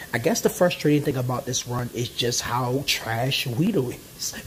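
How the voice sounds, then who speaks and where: A man with a medium-pitched voice speaks in an animated tone at a fairly slow pace, with ordinary pitch variation. Noticeable background noise runs underneath. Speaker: gaming YouTuber. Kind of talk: gameplay commentary. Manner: halting, stumbling over words; casual, animated.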